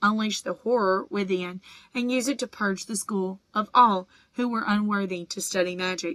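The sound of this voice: An unforced reading voice carries the clip.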